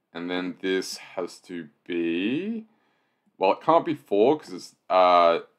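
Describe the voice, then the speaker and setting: Against a quiet background, a man talks at a very slow pace. His pitch is fairly low. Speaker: sudoku solver and video host; video host. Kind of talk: puzzle-solving walkthrough. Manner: casual with frequent fillers. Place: home room.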